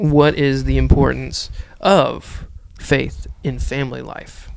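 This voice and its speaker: Noticeable background noise sits under a man speaking at a very slow pace. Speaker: podcast co-host. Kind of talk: casual chat. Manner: loud.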